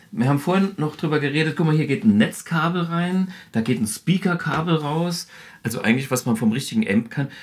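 A man with a fairly high pitch talks at a fairly quick pace with lively intonation in a plain, everyday voice. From Saarland, Germany. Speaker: guitarist and amp designer. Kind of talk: product demonstration. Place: studio.

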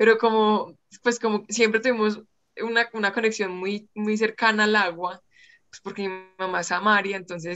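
Fairly even intonation carries this fairly quick speech. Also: woman. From Colombia, Pereira; Colombia. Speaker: freediver and engineering student; interview guest. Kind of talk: interview. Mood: warm, smiling, relaxed. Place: home room. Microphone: video call.

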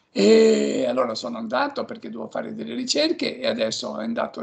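Against a quiet background, a man speaks. His pace is very fast. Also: hardly any pauses. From Italy, Ancona (Marche); Italy. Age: 70s. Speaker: friar and biblical scholar; interviewee. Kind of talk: radio interview. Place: home room. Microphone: video call.

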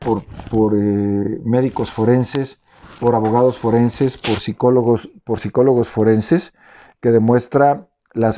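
In a Mexican accent, a man speaks at a fairly slow pace and a medium pitch. His tone is dark and mellow, his intonation fairly even. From Mexico, Veracruz (Córdoba); Veracruz, Mexico. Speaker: former health official. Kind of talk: press statement. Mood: serious, aggrieved. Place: home room. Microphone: phone near.

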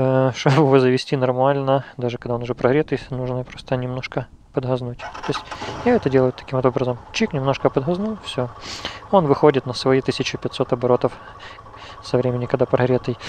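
Fairly quick, fairly even speech from a man, dry with no echo, with light background noise. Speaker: motorcycle owner reviewer. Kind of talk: tutorial. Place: street.

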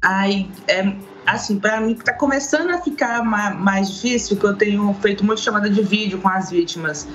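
Very even loudness, ordinary pitch variation, and light background noise. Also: woman, moderate pace. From Brazil, Minas Gerais (Governador Valadares); Minas Gerais, Brazil. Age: 30s. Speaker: social media activist against domestic violence; remote guest. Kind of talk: interview. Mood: earnest, serious topic. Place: home room. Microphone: video call.

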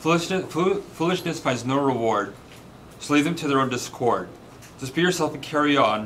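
A man with a fairly high pitch speaks at a moderate pace with lively intonation, over light background noise. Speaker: poet. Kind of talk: poetry reading, rhymed verse.

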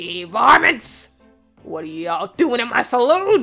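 A put-on character voice moves at a fairly slow pace with very wide pitch swings. Faint music plays in the background. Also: female-sounding voice.

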